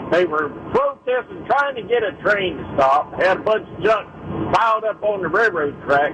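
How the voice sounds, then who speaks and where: Through noticeable background noise, a man with a high voice speaks at a moderate pace with lively intonation. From Ohio. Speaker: caller. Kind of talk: phone-in call.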